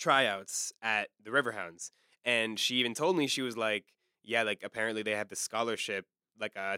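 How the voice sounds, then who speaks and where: Bright and sharp in tone, a man talks in an American accent at a fairly quick pace. The sound is dry and close with no echo, in a very clean recording with a silent background. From Washington DC area. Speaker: podcast host and university student. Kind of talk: casual interview.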